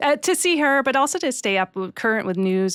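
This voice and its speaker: In a Boston accent, a woman talks at a very fast pace with lively intonation on a very clean recording with a silent background. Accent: American (Boston), noticeable. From US, Boston area, Massachusetts. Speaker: head of human resources. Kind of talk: interview. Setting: studio.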